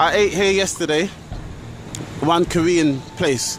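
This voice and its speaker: The speaker is a man with a high pitch. His pitch varies in an ordinary way, and there is noticeable background noise. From London, England. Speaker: travel vlogger. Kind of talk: walking vlog narration. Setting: outdoors, walking city streets. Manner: casual, rambling street talk.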